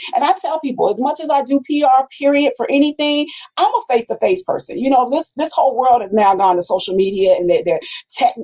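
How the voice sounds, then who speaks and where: This woman talks loudly and very fast with an American accent, her high, animated voice swinging very widely in pitch. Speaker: radio personality and community advocate. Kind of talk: interview, casual chat. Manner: loud, projecting.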